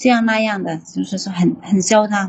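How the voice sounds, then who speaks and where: With fairly even intonation, a woman talks in a voice that is somewhat breathy. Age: 30s. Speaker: factory worker calling in for advice. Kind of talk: advice call-in.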